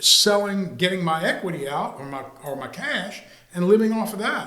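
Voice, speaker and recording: Over noticeable background noise and audible room echo, a man with a high pitch raises and projects his voice at a moderate pace, with lively intonation and big swings in loudness. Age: 70s. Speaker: retired real estate executive, market analyst. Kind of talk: podcast interview. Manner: halting.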